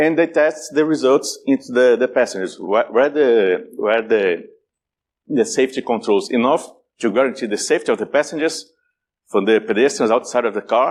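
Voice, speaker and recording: A man speaks at a moderate pace with a strong Brazilian accent and a fairly high pitch. His pitch swings very widely, his loudness stays very even, and the recording is very clean with a silent background. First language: Portuguese. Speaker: security conference speaker. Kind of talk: conference talk. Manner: halting, many repetitions and fillers.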